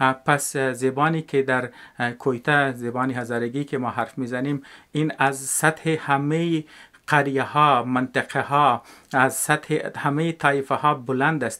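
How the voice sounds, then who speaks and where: A man speaks in a fairly high, bright, sharp voice with monotone, flat intonation. His pace is fairly slow, and the recording is very clean with a silent background. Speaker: educational video maker. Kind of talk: spoken video essay. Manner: halting, many filler sounds.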